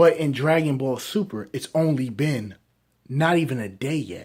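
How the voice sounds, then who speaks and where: Quiet, fairly high male voice with lively intonation. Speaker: anime reviewer. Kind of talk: casual video review.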